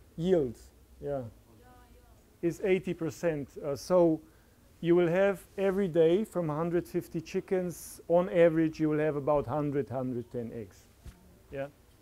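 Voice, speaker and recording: Speaking at a fairly slow pace with long, frequent pauses, a man has a fairly high pitch, a dark, mellow tone and ordinary pitch variation. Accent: Slovene. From Slovenia. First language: Slovene. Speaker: farmer. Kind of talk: conference talk. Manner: halting.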